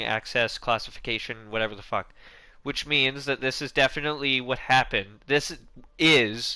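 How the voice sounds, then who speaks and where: A man with a bright, sharp tone speaks at a moderate pace with fairly even intonation. The background is quiet. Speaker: gaming YouTuber. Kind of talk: casual commentary vlog. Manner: halting, many false starts.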